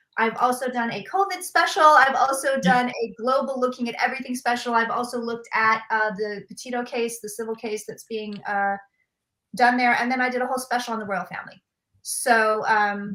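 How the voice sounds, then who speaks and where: This is a woman's voice, high in pitch. Her tone is bright and sharp. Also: ordinary pitch variation, fairly quick pace. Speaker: show host. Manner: fast talker.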